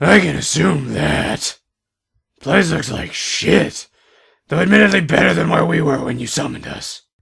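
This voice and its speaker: Putting on a raspy character voice, a man talks at a moderate pace with a fairly high pitch and very wide pitch swings. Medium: audio drama. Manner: sarcastic, profane, irritable.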